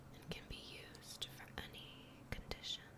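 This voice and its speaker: Someone whispers at a fairly slow pace against noticeable background noise. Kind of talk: whispered ASMR reading about crystals. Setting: gentle crackling fire in the background. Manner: soft-spoken, whispered.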